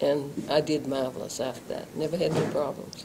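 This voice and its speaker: A woman speaks at a moderate pace with fairly even intonation against noticeable background noise. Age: 70s. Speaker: stroke survivor. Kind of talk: interview. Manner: terse replies.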